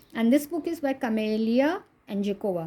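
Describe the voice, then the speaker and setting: Lively intonation from a woman with a dark, mellow tone, moderate pace, and a very clean recording over a silent background. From India, Maharashtra. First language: Konkani. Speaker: coloring book reviewer. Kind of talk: casual video review.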